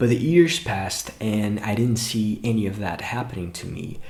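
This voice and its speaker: Delivered at a moderate pace in a Brazilian accent, the voice has lively intonation and audible room echo. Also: man. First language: Portuguese. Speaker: English teacher and YouTuber. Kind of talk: motivational talk to camera.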